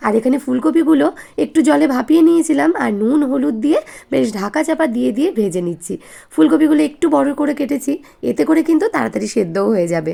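A woman's high voice with a dark, mellow tone and very wide pitch swings. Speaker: lifestyle vlogger and housewife. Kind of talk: vlog narration. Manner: casual, chatty.

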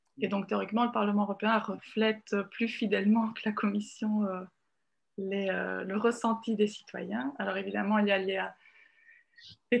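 The surroundings are quiet. A woman talks at a fairly slow pace. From Italy. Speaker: journalist. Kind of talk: video call discussion. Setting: video call. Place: home room. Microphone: video call.

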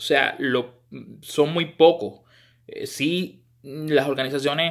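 Very slowly and with fairly even intonation, a man speaks over a quiet background. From Puerto Rico. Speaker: baseball scouting commentator. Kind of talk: monologue to camera. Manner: halting, frequent repetitions. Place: home room. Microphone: phone near.

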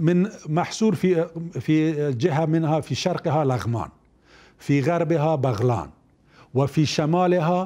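A man speaks in a fairly high voice with a dark, mellow tone. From Afghanistan. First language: Dari or Pashto (speaking Arabic). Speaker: former government minister; interview guest, former minister. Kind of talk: interview. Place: studio. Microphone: lapel.

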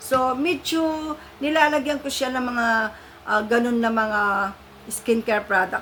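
A woman talks with a high pitch that varies in an ordinary way, keeping to a moderate pace. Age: 50s. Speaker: beauty vlogger. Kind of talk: product review vlog. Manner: chatty, friendly.

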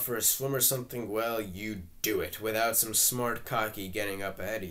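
A natural reading voice is heard here.

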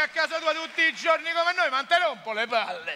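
A man speaks in a raised, projected voice at an extremely high pitch with a Roman accent. His pace is fairly quick, with ordinary pitch variation, over light background noise. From Rome. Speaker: comedian. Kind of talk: stand-up comedy monologue. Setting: theatre stage. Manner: sarcastic. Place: stage. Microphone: headset.

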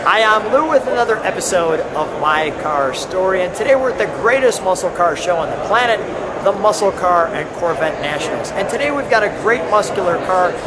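Loud background noise fills the clip. Through it, a man talks at a fairly quick pace. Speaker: show host. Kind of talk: casual host intro and interview. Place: hall. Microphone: phone near.

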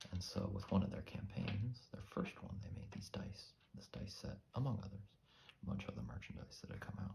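A soft-spoken man talks at a fairly quick pace with vocal fry. His tone is relaxed and calm, and his intonation stays fairly even. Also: fairly low pitch for a man. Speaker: ASMR creator. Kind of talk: ASMR soft-spoken ramble. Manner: relaxed, calm. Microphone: studio mic.

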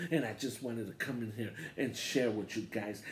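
A man speaks with a fairly low pitch and a somewhat breathy voice. His pitch varies in an ordinary way over light background noise. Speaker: wrestling channel host. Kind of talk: casual vlog chat. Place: home room. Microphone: handheld.

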